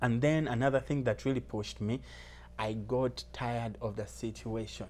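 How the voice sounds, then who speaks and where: A man speaks at a fairly slow pace with a Ugandan accent. Music plays in the background. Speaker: recent immigrant sharing life story. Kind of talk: interview. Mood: motivational, earnest. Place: studio. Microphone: lapel.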